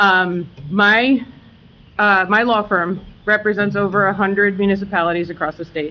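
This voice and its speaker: A woman's voice at medium pitch with fairly even intonation. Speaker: attorney. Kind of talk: public meeting explanation. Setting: township committee meeting with audience. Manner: loud.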